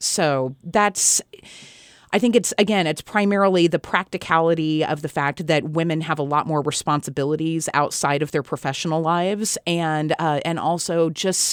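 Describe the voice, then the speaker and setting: On a very clean recording with a silent background and a dry, close sound with no echo, a woman speaks in a plain, everyday voice at a fairly low pitch and moderate pace, with ordinary pitch variation. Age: 40s. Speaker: politician. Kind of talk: interview.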